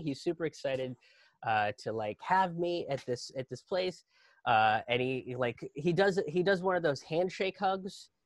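Against a quiet background, a man with an American accent speaks at a moderate pace with lively intonation and a high pitch. The sound is dry, with no echo. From Indian American, Pittsburgh. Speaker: stand-up comedian. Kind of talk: live virtual storytelling, stand-up comedy. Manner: conversational, humorous, digressive. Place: home room. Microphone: webcam.

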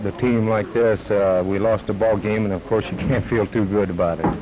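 A man speaks in a fairly low pitch with fairly even intonation. Noticeable background noise runs underneath. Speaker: professional baseball pitcher. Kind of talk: interview answer. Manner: hesitant, plain-spoken. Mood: subdued, disappointed. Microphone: handheld.

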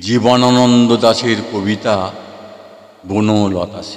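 Noticeable background noise sits behind a man speaking at a fairly low pitch with fairly even intonation. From West Bengal, India. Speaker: poet and recitation artist. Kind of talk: poetry reading.

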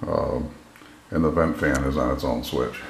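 A man is speaking. The room echo is audible. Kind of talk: casual home tour narration. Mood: proud, pleased. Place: bathroom. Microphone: phone near.

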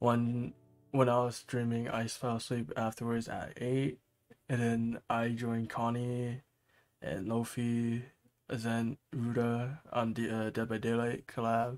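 Soft-spoken and fairly slow, with monotone, flat intonation, on a very clean recording with a silent background. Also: man, medium pitch for a man. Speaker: livestreamer. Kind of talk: casual chat. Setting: live stream at home at night. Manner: soft-spoken, keeping voice down; halting, repeats words.

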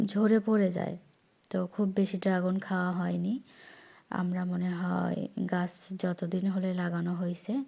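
A woman speaks with monotone, flat intonation. Her tone is dark and mellow. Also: medium pitch for a woman. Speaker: vlogger. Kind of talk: casual vlog monologue, garden tour.

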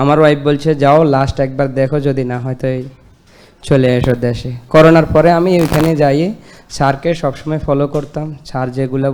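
Here a man speaks at a fairly high pitch. His intonation is monotone and flat. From Bangladesh, Lakshmipur. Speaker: patient giving testimonial. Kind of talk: testimony.

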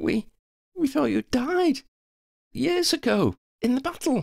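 A put-on character voice, high and shaky, at a fairly slow pace. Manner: stammering, shaky.

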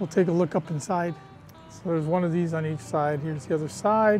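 Faint music plays in the background of this dry recording with no echo. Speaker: travel vlogger. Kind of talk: casual vlog chat. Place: open country. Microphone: phone near.

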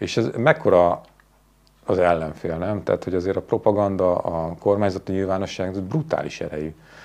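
Talking at a fairly quick pace, a man uses a very deep, low voice with ordinary pitch variation. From Hungary. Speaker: journalist and TV presenter; interview guest. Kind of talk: interview conversation. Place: studio.

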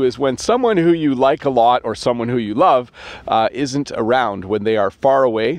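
A man speaks at a moderate pace with a Canadian accent. His pitch varies in an ordinary way, and the sound is dry with no echo. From Canada. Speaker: English teacher. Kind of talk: casual talk to camera. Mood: warm, friendly. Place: open country. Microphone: phone near.

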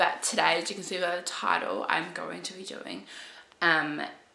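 With faint background noise behind her, a woman speaks at a fairly low pitch, her bright, sharp tone touched by vocal fry.

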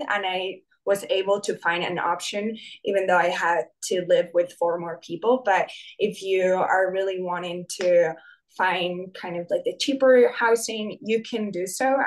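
A woman's medium-pitched voice, fairly even in intonation and fairly slow in pace. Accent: Spanish. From Spain. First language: Spanish. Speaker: graduate student. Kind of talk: student panel answers.

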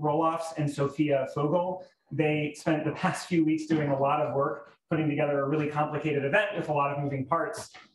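Fairly quick speech with audible room echo. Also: man. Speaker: event host introducing program. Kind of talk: event introduction speech. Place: hall.

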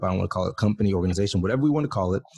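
Against a quiet background, a man's somewhat breathy voice has a dark, mellow tone and fairly low pitch with ordinary pitch variation. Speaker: podcast host. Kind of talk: casual podcast intro chat. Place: home room. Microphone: studio mic.

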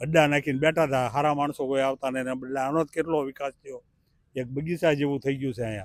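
Fairly high in pitch, a man speaks in a plain, everyday voice with fairly even intonation. The recording is very clean and silent in the background, with a dry, close sound and no echo. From India, rural Bhavnagar district (Vallabhipur). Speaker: interviewed local resident. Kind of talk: street interview. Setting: outdoors in a park.

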